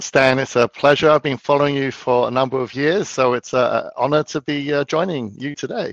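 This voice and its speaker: Speaking with an English accent, a man moves at a fairly quick pace with hardly any pauses and ordinary pitch variation, in a dry, close sound with no echo. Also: fairly high pitch for a man. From London, England. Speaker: precious metals dealer. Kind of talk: interview.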